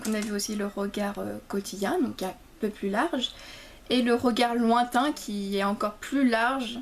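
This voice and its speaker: This woman's fairly high voice varies in pitch in an ordinary way as she talks fairly slowly. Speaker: theatre student vlogger. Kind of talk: casual vlog recap. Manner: halting, many fillers and repetitions.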